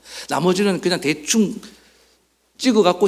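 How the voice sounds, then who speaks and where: The speaker here is a man. His delivery moves at a fairly quick pace. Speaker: pastor. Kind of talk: sermon. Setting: church service recorded for online viewing. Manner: conversational, addresses congregation with questions.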